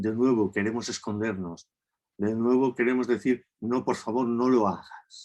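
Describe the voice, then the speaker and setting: The man has a plain, everyday voice at a medium pitch. His intonation is fairly even and his pace fairly slow. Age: 60s. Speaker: therapist, lecturer. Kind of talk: lecture. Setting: video call.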